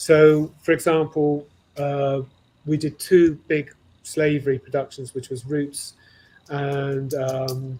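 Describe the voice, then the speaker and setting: Very slow and flat in intonation, this man's voice is somewhat breathy, fairly high in pitch, and dark and mellow in tone. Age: 60s. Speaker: costume manufacturer. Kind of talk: interview conversation. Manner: halting.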